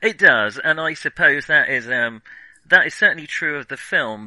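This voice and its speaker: A man with a British accent speaks at a moderate pace, his voice dry and close with no echo over a quiet background. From Britain. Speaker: film podcast host. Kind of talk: casual chat. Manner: halting, many fillers.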